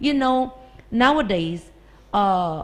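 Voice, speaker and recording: A woman speaks with a Filipino accent. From Philippines. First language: Tagalog. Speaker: English teacher. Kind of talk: podcast discussion.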